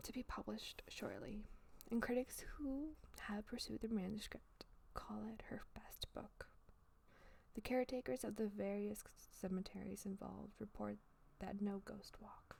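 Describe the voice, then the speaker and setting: A woman puts on a character voice, soft-spoken, breathy and whispering. She keeps a moderate pace with long, frequent pauses. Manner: whispering, relaxing.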